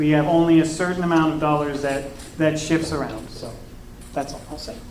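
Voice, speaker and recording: Noticeable background noise and audible room echo surround a voice with an American accent. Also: man. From Oklahoma. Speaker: political candidate. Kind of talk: political debate.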